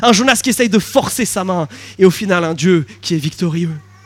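A man talks with normal pitch movement and an unhurried, moderate pace while noticeable noise fills the background. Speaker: pastor. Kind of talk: sermon.

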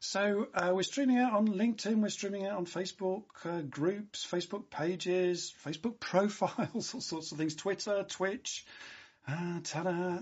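With a British accent, the speaker talks at a moderate pace in an animated, enthusiastic tone. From UK. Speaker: livestream host. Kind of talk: live-streamed show hosting, upbeat chat. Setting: live video stream.

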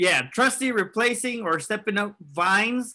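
In an American accent, the speaker uses a raised, projected voice with a bright, sharp tone, ordinary pitch variation and a moderate pace. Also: man. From California. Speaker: soccer podcast co-host. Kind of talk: casual banter podcast.

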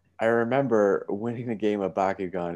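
A man with an ordinary speaking voice talks at a moderate pace. His intonation is fairly even, and the background is quiet. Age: 20s. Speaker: podcast co-host. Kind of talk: casual chat.

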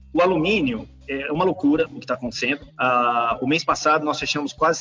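With music playing in the background, a man with a fairly high pitch speaks at a fairly quick pace. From Brazil, São Paulo city. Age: 40s. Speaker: engineer and company CEO. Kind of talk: interview. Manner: halting, frequent repetitions and fillers.

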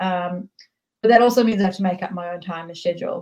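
Here a woman with a New Zealand accent talks at a fairly quick pace, somewhat breathy, at medium pitch. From New Zealand, raised from childhood after leaving Tehran. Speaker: author and filmmaker. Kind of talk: casual interview chat.

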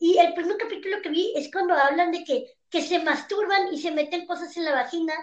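The voice carries a Mexican accent. It moves at a fairly quick pace with ordinary pitch variation. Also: woman, extremely high pitch for a woman. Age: 20s. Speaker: stand-up comedian. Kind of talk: casual chat. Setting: video call.

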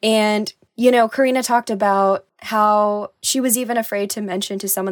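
A woman's normal speaking voice at medium pitch with ordinary pitch variation, dry and close with no echo, in a very clean recording with a silent background. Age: 20s. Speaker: podcast co-host. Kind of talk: casual chat.

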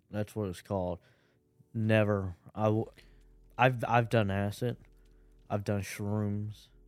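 A man's very slow, flat, monotone delivery over music in the background. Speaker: podcast co-host. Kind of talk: casual chat.

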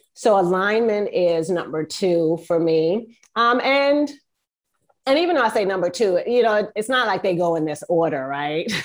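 A woman at medium pitch, in an American accent, moderate pace, lively intonation. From US East Coast. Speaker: business leadership coach. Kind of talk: casual interview.

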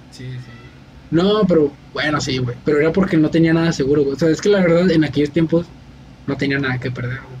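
With noticeable background noise behind him, a man speaks at a fairly quick pace and fairly high pitch, showing ordinary pitch variation and big swings in loudness. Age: 20s. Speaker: podcast host. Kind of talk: casual chat. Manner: animated.

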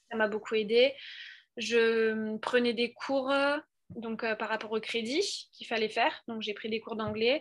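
Slow-paced and flat, a woman speaks in a fairly high pitch with monotone intonation. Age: 20s. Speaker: student, former au pair. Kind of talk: interview. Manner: hesitant, many fillers.

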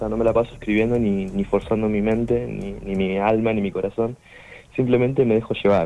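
An ordinary speaking voice from a man, fairly low in pitch, at a moderate pace with ordinary pitch variation. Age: 20s. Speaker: musician. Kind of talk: interview.

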